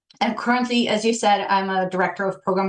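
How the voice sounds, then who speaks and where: A woman's medium-pitched voice with fairly even intonation over noticeable background noise. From Poland. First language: Polish. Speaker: change management director. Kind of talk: podcast interview. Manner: halting, many fillers.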